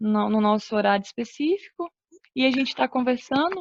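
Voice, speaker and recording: With a dry, close sound and no echo, a woman speaks at a moderate pace in a high pitch with lively intonation. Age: 20s. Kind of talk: religious teaching talk. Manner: halting. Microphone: connection cutting out.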